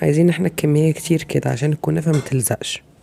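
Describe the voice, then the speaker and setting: A woman's voice comes through with noticeable background noise around it. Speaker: cooking channel host. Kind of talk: cooking tutorial. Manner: casual, conversational.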